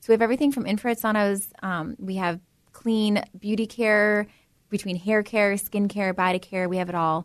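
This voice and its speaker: An unremarkable speaking voice from a woman at medium pitch, with fairly even intonation, a moderate pace and a quiet background. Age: 30s. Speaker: hair salon owner. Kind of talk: interview.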